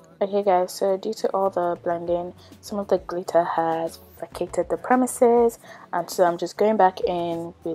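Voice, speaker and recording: A woman at a fairly slow pace over faint music in the background. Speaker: beauty vlogger. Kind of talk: tutorial. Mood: calm, friendly.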